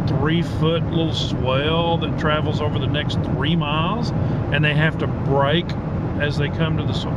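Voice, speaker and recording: A man talks at a fairly slow pace over loud background noise. The sound is dry, with no echo. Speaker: driver vlogger. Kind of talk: casual vlog chat. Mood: mildly irritated, wry. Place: car. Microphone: phone near.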